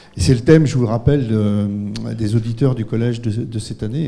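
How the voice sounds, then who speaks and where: Medium pitch and fairly even intonation from a man at a moderate pace. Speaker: event organizer and moderator; moderator. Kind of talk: public event introduction. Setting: lecture hall with audience. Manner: halting. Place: hall. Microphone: handheld.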